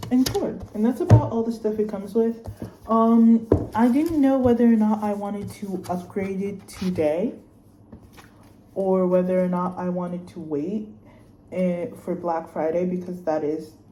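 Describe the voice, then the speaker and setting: A woman with an American accent at medium pitch, ordinary pitch variation and a moderate pace, with audible room echo. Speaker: student vlogger. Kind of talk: casual vlog unboxing. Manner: animated.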